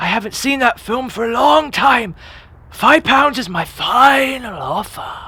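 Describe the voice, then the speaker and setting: Someone uses a put-on character voice at a fairly high pitch. The delivery moves at a fairly slow pace. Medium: audio drama. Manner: grumbling, stingy.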